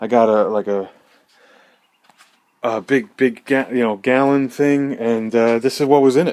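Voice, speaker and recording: A man speaks with ordinary pitch variation. He leaves long, frequent pauses. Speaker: motorcycle hobbyist video blogger. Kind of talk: casual tutorial. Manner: fast; hesitant, filler-heavy. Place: garage. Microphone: phone near.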